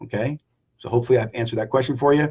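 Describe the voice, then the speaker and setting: Pitch varies an ordinary amount. There is some breathiness to the voice. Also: man. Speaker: business coach. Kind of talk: live stream Q&A. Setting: Facebook live video. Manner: high energy.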